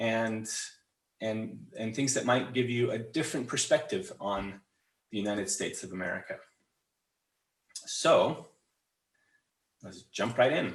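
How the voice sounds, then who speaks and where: A man's medium-pitched, somewhat breathy voice with a western US accent, lively intonation, big swings in loudness, and long, frequent pauses. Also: fairly slow pace. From Utah, Salt Lake City. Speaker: English trainer. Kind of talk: webinar presentation. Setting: online webinar. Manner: halting, many fillers and repetitions.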